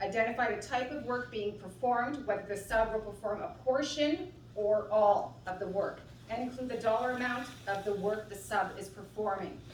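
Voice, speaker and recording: A woman talks in a fairly high pitch with ordinary pitch variation. Noticeable background noise and audible room echo fill the recording. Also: moderate pace. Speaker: city procurement staff. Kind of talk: procedural briefing. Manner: loud. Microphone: no microphone.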